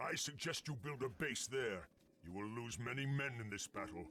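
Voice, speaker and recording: Putting on a character voice, a man speaks at a moderate pace with a medium pitch. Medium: video game. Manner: commanding, proud.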